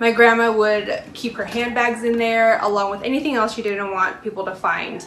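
A woman speaks at a moderate pace in a fairly high pitch, with a monotone, flat delivery, hardly any pauses, light background noise and audible room echo. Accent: American. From United States, first-generation American. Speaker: consumer reporter. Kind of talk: scripted news segment. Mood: warm, personal anecdote. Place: kitchen.

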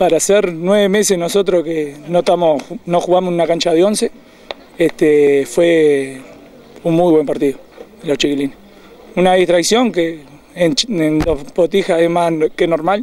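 A Uruguayan accent at a fairly slow pace with ordinary pitch variation and very even loudness, long, frequent pauses, light background noise and dry sound with no echo. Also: man, high pitch for a man. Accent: Uruguayan Rioplatense Spanish. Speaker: youth football coach. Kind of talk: post-match interview; interview answer. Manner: halting. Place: open country.

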